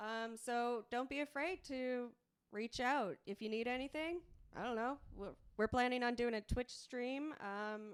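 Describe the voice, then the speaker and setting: Loud and high-pitched, a woman speaks at a fairly slow pace with ordinary pitch variation. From Prince Edward Island, Canada. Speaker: podcast co-host. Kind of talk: casual chat.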